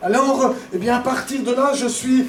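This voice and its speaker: Speaking with an Alsatian accent at an extremely high pitch for a man, a man talks at a fairly slow pace over music in the background, with audible room echo. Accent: eastern French (Alsatian-tinged). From eastern France, Franche-Comté and Strasbourg. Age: 50s. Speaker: pastor. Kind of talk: testimony. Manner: hesitant, many fillers.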